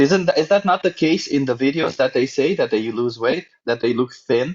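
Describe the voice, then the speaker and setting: A man with a non-native accent, fairly high pitch and lively intonation, at a moderate pace with very even loudness. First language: not English. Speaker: vegan debater, nutritionist. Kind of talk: heated debate. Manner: animated; stumbling over words.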